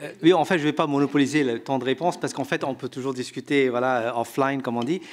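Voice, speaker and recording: A man talks at a very fast pace with hardly any pauses. His voice is fairly high-pitched, with fairly even intonation. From India. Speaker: economist, researcher and author. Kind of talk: panel discussion answer. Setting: conference room with audience.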